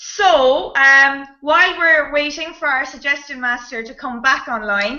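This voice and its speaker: A woman with an Irish accent, high-pitched, at a fairly slow pace with hardly any pauses, ordinary pitch variation and big swings in loudness. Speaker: improv comedian and show host. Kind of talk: live online improv show hosting. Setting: video call. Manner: animated.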